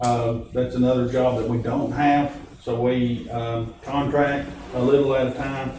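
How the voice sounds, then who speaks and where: A man speaks at a medium pitch and a fairly slow pace, in a monotone, flat intonation. Audible room echo and noticeable background noise surround him. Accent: Tennessee. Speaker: county official chairing meeting, also a preacher. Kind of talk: public meeting discussion. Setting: county meeting room, recorded for public. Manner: loud.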